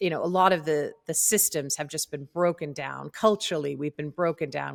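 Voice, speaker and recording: A woman with a very deep, low pitch in a dry, close sound with no echo, in a very clean recording with a silent background. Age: 50s. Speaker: podcast host. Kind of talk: interview.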